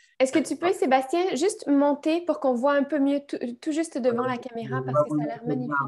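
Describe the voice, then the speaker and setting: A woman speaks at a fairly quick pace with a Quebec accent. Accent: Québécois. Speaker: co-host. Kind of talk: casual chat.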